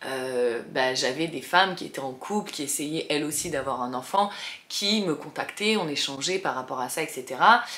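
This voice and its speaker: A woman with a very deep, low pitch at a moderate pace, over noticeable background noise. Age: 30s. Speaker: vlogger, single mother. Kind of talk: casual chat to camera. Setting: bedroom, sitting on bed. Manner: hesitant, many fillers.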